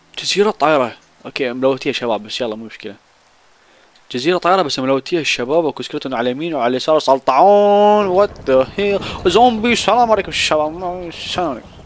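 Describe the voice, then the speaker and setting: With an animated tone and very wide pitch swings, a man speaks at a moderate pace in a fairly high pitch. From Iraq. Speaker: gaming YouTuber. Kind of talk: gameplay commentary.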